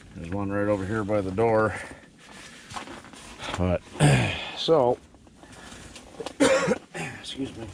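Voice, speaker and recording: A man's relaxed, fairly low voice at a very slow pace, with noticeable background noise. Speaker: outdoorsman / winter camper. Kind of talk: casual talk to camera. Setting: outdoors. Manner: relaxed, hesitant.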